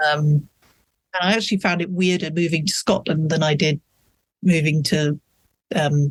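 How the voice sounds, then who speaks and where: A moderate pace with a British accent, in a dry, close sound with no echo. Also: man. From England. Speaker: author. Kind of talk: casual interview chat.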